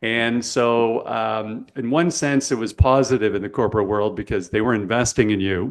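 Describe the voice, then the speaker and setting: An unremarkable speaking voice from a man with a Canadian accent, at a moderate pace with hardly any pauses and ordinary pitch variation, against a quiet background. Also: medium pitch for a man. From Canada. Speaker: podcast host, sales coach. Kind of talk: podcast interview.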